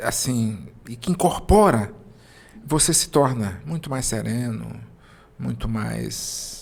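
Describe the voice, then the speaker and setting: A man's calm tone at a very slow pace, with ordinary pitch variation. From Brazil, interior of Maranhão. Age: 50s. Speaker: entrepreneur. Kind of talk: interview. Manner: calm, serene.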